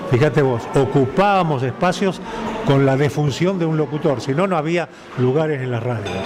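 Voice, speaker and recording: Music plays in the background and room echo is audible. A man talks at a fairly high pitch with ordinary pitch variation. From Argentina, Santa Fe province. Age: 80s+. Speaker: veteran radio announcer. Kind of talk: interview conversation. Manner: formal.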